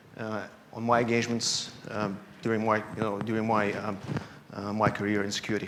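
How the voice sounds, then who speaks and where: A man with a Russian accent speaks at a moderate pace. Noticeable background noise and audible room echo are in the recording. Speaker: security analyst. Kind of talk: conference talk. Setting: stage with audience. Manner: halting, many fillers.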